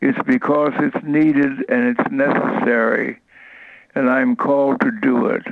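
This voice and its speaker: With an American accent, a man speaks in a fairly high voice that swings very widely in pitch. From Ohio, US Midwest. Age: 90s. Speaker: retired civil rights leader. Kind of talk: interview, reminiscing.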